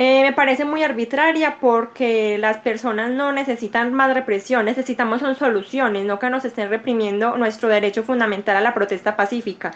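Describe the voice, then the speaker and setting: A woman talks at a moderate pace with a fairly high pitch, fairly even intonation and hardly any pauses. Noticeable background noise is present. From Colombia, Medellín (paisa). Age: 20s. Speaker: law student and church youth leader. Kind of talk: interview conversation.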